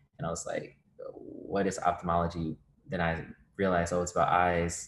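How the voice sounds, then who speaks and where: A man's very deep, low voice with an American accent and ordinary pitch variation on a very clean recording with a silent background. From Virginia. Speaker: medical student. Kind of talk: interview.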